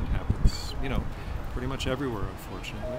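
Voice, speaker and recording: Loud background noise surrounds a man as he speaks. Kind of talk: interview answer. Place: street.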